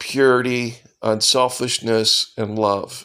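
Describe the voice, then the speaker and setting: The speaker is a man. The recording is very clean with a silent background. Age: 60s. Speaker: AA member sharing recovery. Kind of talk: personal talk to camera.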